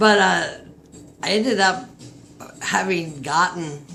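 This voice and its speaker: Female speech over noticeable background noise, with audible room echo. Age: 60s. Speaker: tarot reader. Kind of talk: casual tarot reading monologue. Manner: halting.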